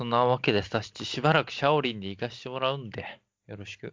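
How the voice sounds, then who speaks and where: A man speaks in an unremarkable speaking voice at a fairly quick pace. His pitch shows ordinary variation. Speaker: podcast co-host. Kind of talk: casual chat. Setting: online call. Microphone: packet loss on the line.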